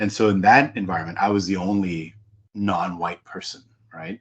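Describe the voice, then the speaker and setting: A man with an American accent talks in a fairly even intonation. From Hong Kong. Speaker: executive coach and author. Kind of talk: interview conversation. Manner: conversational, with many fillers.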